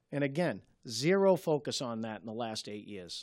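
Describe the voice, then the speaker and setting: On a very clean recording with a silent background, a man speaks with a Boston accent. His medium-pitched voice has lively intonation. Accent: Boston-area. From Malden, Massachusetts. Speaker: city councilor. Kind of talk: local TV interview. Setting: TV studio.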